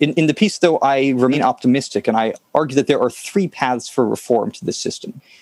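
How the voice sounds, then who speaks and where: With a plain, everyday voice, a man speaks at a moderate pace with a fairly high pitch and lively intonation, in a dry, close sound with no echo. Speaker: director of operations at an online publication. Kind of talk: scripted narration.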